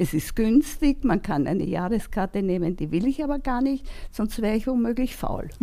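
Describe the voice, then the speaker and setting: At a moderate pace, a woman with a fairly high pitch and a dark, mellow tone speaks with very wide pitch swings. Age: 80s+. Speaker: volunteer helper, retiree. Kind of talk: interview conversation. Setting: at her home.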